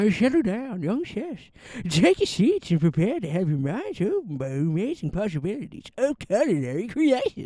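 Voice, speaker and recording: Mumbling in a put-on character voice, a man speaks at a moderate pace with a high pitch and very wide pitch swings. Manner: mumbling, unintelligible.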